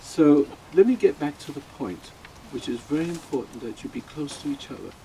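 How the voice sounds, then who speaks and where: Amid noticeable background noise, a man with a fairly high voice talks at a fairly quick pace with lively intonation and big swings in loudness. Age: 80s+. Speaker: funeral speaker, radio host. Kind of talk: eulogy. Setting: funeral. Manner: halting.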